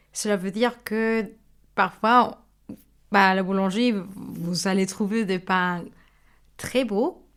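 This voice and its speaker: A woman with a Mexican accent speaks at a very slow pace and a medium pitch. Her intonation is fairly even, and she leaves long, frequent pauses. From Mexico. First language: Spanish (speaking French). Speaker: baker. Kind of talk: interview. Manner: hesitant, with fillers.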